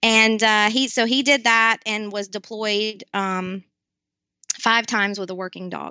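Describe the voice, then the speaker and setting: A woman speaks with a fairly high pitch. Her pace is fairly slow. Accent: Southern US. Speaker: nonprofit founder, military spouse. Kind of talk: interview. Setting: video call.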